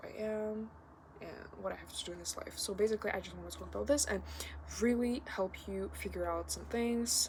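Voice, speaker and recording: A woman talks over noticeable background noise. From Kazakhstan. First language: not English (English is third language). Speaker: vlogger. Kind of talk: casual vlog monologue. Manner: halting, many filler words.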